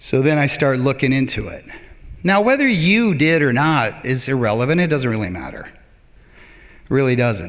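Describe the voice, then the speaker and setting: A man at a medium pitch uses a normal speaking voice, talking at a moderate pace with big swings in loudness. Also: lively intonation. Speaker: public speaker. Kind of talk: live stage talk. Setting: theater stage.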